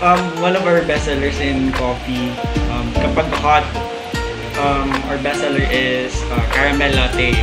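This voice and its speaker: Fairly slow speech over loud background music. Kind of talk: interview answer. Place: cafe. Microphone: camera far.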